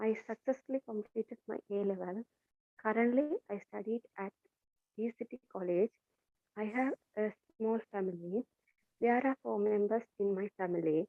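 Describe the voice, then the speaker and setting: A woman with a Tamil accent speaks at a fairly high pitch with long, frequent pauses. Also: ordinary pitch variation, moderate pace. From Sri Lanka, Jaffna area. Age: 20s. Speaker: English class student. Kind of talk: self-introduction speech. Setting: video call.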